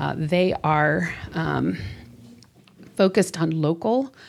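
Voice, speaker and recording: In a very clean recording with a silent background, a woman with an American accent speaks with vocal fry at a very deep, low pitch. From US Midwest (Chicago northern suburbs). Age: 40s. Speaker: gun violence prevention campaign organizer. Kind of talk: interview conversation. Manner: animated, enthusiastic.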